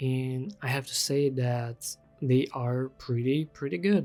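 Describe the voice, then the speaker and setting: At a fairly slow pace, the speaker talks while music plays underneath. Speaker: freelance digital artist. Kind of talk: casual product review to camera.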